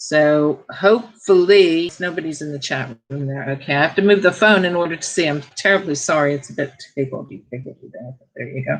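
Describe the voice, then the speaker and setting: At a fairly quick pace with hardly any pauses, a woman speaks in a very deep, low voice with ordinary pitch variation. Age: 60s. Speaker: internet radio host. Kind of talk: solo talk show monologue. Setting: live stream from home studio. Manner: conversational, off the cuff.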